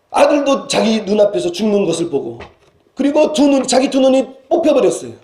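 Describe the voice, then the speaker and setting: A man's dark, mellow voice at a fairly quick pace, with very wide pitch swings and audible room echo. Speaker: senior pastor. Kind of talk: sermon. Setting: church. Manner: halting with fillers and self-corrections.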